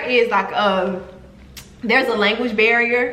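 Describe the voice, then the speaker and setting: Speaking at a fairly slow pace with fairly even intonation, a woman with a Southern US accent is heard over noticeable background noise and audible room echo. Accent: American country. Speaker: travel vlogger. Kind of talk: casual vlog storytelling.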